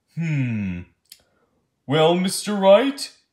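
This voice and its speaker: Pitched in the middle, this is a put-on character voice. Its pitch swings very widely. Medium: audio drama. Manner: slow, deliberating.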